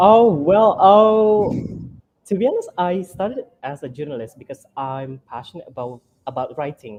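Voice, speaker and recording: A man with an Indonesian accent at a moderate pace, with very wide pitch swings and big swings in loudness. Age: young. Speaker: journalist. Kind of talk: interview. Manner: halting, many fillers.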